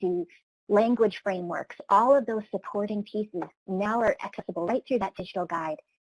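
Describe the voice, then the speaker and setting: A woman's fairly high pitch with ordinary pitch variation. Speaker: training program presenter. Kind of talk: webinar presentation. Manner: fast.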